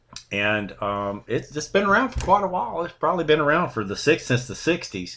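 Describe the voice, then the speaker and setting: Talking at a fairly quick pace, a man with a fairly high pitch swings his pitch very widely. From Louisiana, US South. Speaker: army veteran. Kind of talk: interview conversation.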